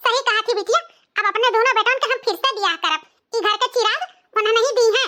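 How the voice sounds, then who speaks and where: In a squeaky, cartoonish character voice, a woman rattles along at a very fast pace with an extremely high pitch. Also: very even loudness. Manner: scolding, contemptuous.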